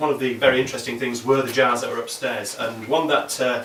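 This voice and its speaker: Noticeable background noise fills the space as a man races along at a very fast pace in a fairly high pitch. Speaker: poet. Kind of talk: introducing poems to a live audience.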